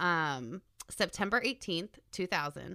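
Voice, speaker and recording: A woman speaks with a bright, sharp tone. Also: very clean recording, silent background. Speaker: true crime podcast co-host. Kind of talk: casual chat, telling a case.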